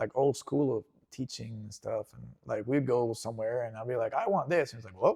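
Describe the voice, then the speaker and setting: A man speaks fairly quickly in a Spanish accent. His loudness swings widely. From Venezuela, Caracas. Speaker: interview guest. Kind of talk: casual interview.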